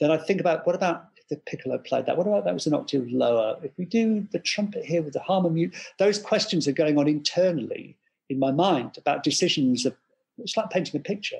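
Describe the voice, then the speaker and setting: With an English accent, a high-pitched man speaks at a very fast pace, his intonation lively and his loudness swinging widely. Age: 50s. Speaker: composer. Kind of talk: interview.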